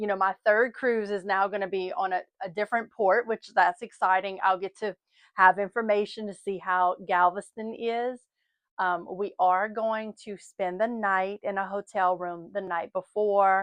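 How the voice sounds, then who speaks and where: A woman with a Southern US accent speaks at a medium pitch in a flat, monotone way. The sound is dry and close with no echo, and the background is quiet. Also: moderate pace. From US South. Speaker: lifestyle and travel vlogger. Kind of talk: casual vlog chat. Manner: chatty, rambling.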